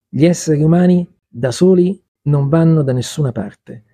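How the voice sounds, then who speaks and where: A man's dark, mellow, somewhat breathy voice sounds dry and close with no echo against a quiet background. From Milan, northern Italy. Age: 50s. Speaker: author, crossdresser. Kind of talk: interview conversation. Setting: bookshop café.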